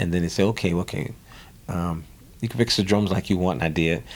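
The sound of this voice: A man speaks with a New Orleans accent. His pitch is low. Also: slightly mellow tone. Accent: New Orleans, American South.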